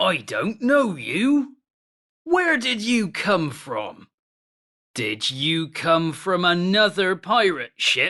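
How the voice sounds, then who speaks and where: In a put-on character voice at a middle pitch, the speaker goes at a very slow pace. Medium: read story. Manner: loud, bossy.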